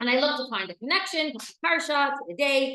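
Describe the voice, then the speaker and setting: Loud and animated, a woman talks at a fairly quick pace with a bright, sharp tone. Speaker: marriage and family purity teacher. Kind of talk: lecture.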